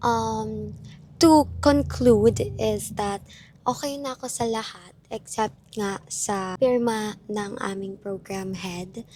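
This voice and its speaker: Delivery comes at a very slow pace with big swings in loudness. The tone is dark and mellow. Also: woman, medium pitch for a woman, ordinary pitch variation. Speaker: vlogger, university student. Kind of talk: casual vlog talk.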